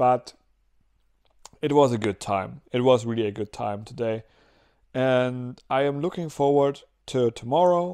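A man speaks at a fairly slow pace with long, frequent pauses, his tone dark and mellow, his pitch variation ordinary, against a quiet background. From Germany. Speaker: vlogger. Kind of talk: casual video diary. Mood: relaxed, upbeat. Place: home room. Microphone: lapel.

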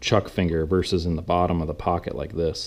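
Loud background noise fills the clip. A man talks over it at a fairly quick pace. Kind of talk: tutorial. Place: workshop.

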